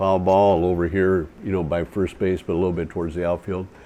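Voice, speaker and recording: Noticeable background noise sits behind a man with a very deep, low voice. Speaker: stadium PA announcer. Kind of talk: interview answer. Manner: casual, humble.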